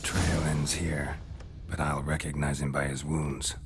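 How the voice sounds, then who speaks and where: A man's put-on character voice at a fairly slow pace over loud background noise. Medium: game stream. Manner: terse, matter-of-fact.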